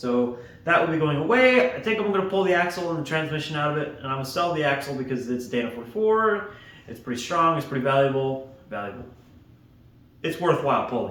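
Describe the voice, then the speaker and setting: Amid noticeable background noise and audible room echo, a man with a fairly high pitch speaks at a very fast pace with lively intonation. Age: 20s. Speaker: aircraft mechanic and hobby vlogger. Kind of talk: casual vlog while working. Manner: quiet.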